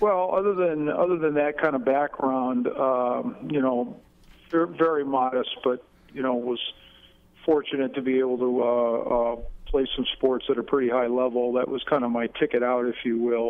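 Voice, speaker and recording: A man with an upstate New York accent at medium pitch, with ordinary pitch variation. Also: moderate pace. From upstate New York, Finger Lakes. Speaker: political candidate. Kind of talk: radio interview. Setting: phone call. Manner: halting, many fillers.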